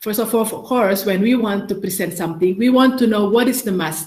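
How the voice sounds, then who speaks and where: A woman talks fairly quickly, with noticeable noise sounding in the background. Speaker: ambassador giving a talk. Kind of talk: workshop presentation. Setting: video call. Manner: fast; halting, many fillers and restarts.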